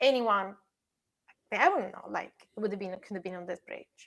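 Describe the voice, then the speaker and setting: In an Italian accent, the voice has a bright, sharp tone and ordinary pitch variation. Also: woman. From Italy. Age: 40s. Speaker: digital twin and construction tech specialist. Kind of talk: casual chat.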